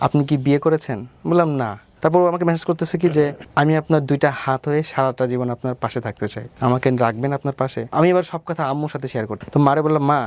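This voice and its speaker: A man with a normal speaking voice, fairly high in pitch with ordinary pitch variation, in a dry, close sound with no echo. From Bangladesh, Pabna. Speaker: vlogger. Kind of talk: interview testimony.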